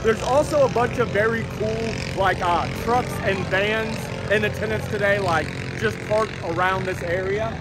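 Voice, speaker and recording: A man at a moderate pace, loud background noise, the sound dry with no echo. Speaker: car vlogger. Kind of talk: casual vlog chat. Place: open country. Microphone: phone near.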